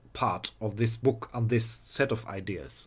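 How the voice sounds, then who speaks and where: Speaking at a fairly slow pace with a non-native accent, a man is heard on a very clean recording with a silent background. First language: not English. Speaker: video blogger. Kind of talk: rant. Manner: halting, repeats words.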